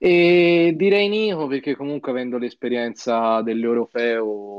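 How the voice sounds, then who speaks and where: With an unremarkable speaking voice, a man talks at a fairly slow pace using lively intonation. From Florence, Italy. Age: young. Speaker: esports player. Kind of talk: casual live-stream chat.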